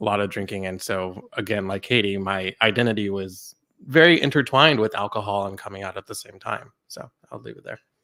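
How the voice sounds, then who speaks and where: A man with an American accent speaks at a fairly quick pace, his pitch fairly low and his tone bright and sharp. His loudness swings widely in a very clean recording with a silent background. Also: ordinary pitch variation. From Texas, Dallas suburbs. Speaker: panelist in recovery. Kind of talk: panel discussion. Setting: live panel event, livestreamed.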